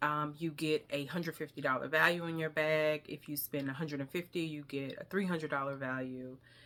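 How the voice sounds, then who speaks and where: A woman with a Southern US accent, very deep and low in pitch, bright and sharp in tone, with monotone, flat intonation. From US South. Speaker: beauty vlogger. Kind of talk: product haul review. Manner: casual, hesitant with fillers.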